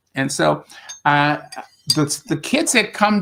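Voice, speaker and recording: A man with a strong upstate New York accent, at a very slow pace and a fairly high pitch. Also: very clean recording, silent background. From US Northeast, Rochester, upstate New York. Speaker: spiritual teacher and English tutor. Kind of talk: casual interview conversation.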